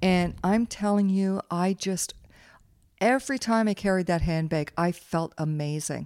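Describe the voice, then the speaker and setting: A woman with a Canadian accent has an unremarkable speaking voice at medium pitch, speaking fairly slowly with ordinary pitch variation and very even loudness on a very clean recording with a silent background. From Canada (Waterloo, Ontario). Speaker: podcast host's mother. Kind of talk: casual chat.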